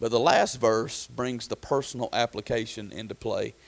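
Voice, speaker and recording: With vocal fry and fairly even intonation, a man speaks at a moderate pace and a medium pitch. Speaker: pastor. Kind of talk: sermon. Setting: church. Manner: halting, with many fillers.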